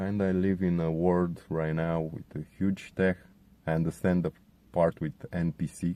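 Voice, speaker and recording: A man with a Romanian accent speaks at a very deep, low pitch in a dark, mellow tone, his intonation monotone and flat. His pace is fairly slow, and the sound is dry and close with no echo. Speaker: contributor sharing testimony. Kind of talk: testimony.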